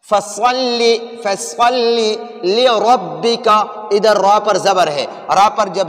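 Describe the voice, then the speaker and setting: Noticeable background noise runs under this recording. A man speaks at a high pitch with fairly even intonation. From Pakistan. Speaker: Quran teacher and reciter. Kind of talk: religious lesson to camera.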